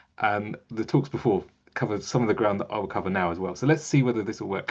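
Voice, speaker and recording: Very fast speech from a man with a medium pitch. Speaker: museum digital strategist. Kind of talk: webinar presentation.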